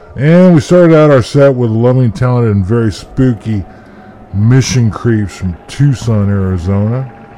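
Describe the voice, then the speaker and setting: Against noticeable background noise, a man with a medium pitch speaks in a playful tone with lively intonation. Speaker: radio host. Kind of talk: radio DJ patter: back-announcing sets, band names, albums and labels between songs. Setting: internet radio studio show. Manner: folksy and playful, with a drawling "howdy" style and spooky "ooh" asides; casual, rattling through track lists, then a profane sign-off.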